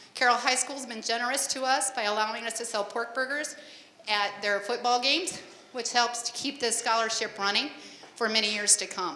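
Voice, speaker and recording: At a fairly quick pace, a woman with an American accent talks at a fairly high pitch and fairly even intonation, with audible room echo and noticeable background noise. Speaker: scholarship committee chairperson. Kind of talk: public address. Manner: loud.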